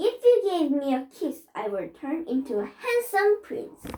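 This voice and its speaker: In a put-on character voice, a woman sounds squeaky and extremely high-pitched. She talks at a moderate pace with very wide pitch swings. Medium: read story. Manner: playful, cheeky.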